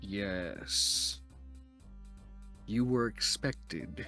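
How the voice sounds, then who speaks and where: A man puts on a booming character voice. Clear music plays in the background. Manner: formal, welcoming.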